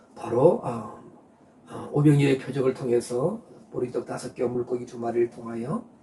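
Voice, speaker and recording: The loudness swings widely while the intonation stays fairly even. Noticeable background noise runs throughout. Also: man, medium pitch for a man, moderate pace. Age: 60s. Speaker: pastor. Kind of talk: sermon. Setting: online live stream. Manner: halting, many filler sounds.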